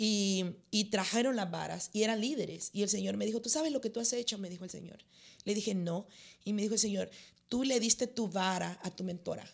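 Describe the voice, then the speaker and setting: Medium-pitched woman with vocal fry and ordinary pitch variation, fairly quick pace, very clean recording and silent background. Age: 50s. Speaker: pastor. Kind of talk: interview.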